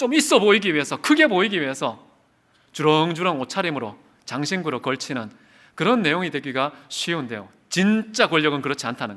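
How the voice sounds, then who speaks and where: A bright, sharp tone with very wide pitch swings comes at a fairly quick pace in a very clean recording with a silent background. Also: man. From South Korea, Daegu. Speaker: pastor. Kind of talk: sermon. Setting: church revival service.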